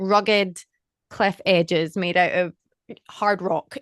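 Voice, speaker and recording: In a Scottish accent, a woman speaks at a medium pitch with fairly even intonation, in a dry, close sound with no echo. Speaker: podcast co-host, actor. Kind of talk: casual chat.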